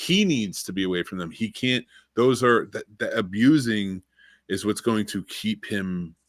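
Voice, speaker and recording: A normal speaking voice from a man, fairly low-pitched with ordinary pitch variation and a fairly slow pace, dry and close with no echo, on a very clean recording with a silent background. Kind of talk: casual podcast discussion.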